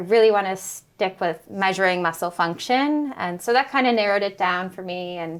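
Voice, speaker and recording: A woman's ordinary speaking voice at a medium pitch and moderate pace, with ordinary pitch variation, in a very clean recording against a silent background. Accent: American. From United States. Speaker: postdoctoral researcher. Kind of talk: podcast interview. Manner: casual, many fillers.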